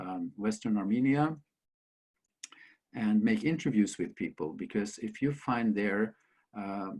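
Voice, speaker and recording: On a very clean recording with a silent background, a man with a Norwegian accent talks at a fairly slow pace with long, frequent pauses, his pitch fairly low and its variation ordinary. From Norway. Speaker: author and school principal. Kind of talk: interview storytelling. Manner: halting.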